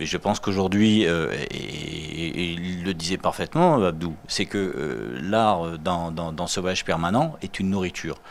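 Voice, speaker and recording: The man's pitch is very deep and low, with ordinary pitch variation. He talks at a fairly slow pace with hardly any pauses. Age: 50s. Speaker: art collector. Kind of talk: TV interview. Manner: halting, many repetitions.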